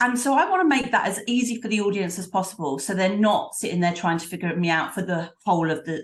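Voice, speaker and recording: A woman's somewhat breathy voice with lively intonation, in an East London accent. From London, East End. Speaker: professional speaker. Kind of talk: interview conversation.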